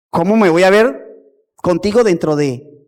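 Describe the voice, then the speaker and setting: A man speaks at a moderate pace. His tone is animated. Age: 50s. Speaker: pastor. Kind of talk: sermon.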